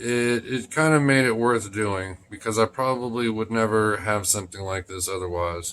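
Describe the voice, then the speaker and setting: Bright and sharp in tone, a man with a fairly low pitch is heard in a very clean recording over a silent background. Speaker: knife collector YouTuber. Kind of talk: casual product showcase. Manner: halting, repeats words.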